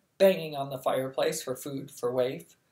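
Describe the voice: Text plainly read aloud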